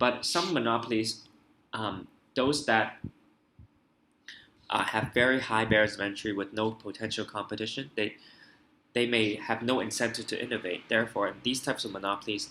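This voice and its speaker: A man speaks at a medium pitch in a bright, sharp tone. His intonation is fairly even, broken by long, frequent pauses. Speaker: IB economics tutor. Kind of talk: tutorial. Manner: fast.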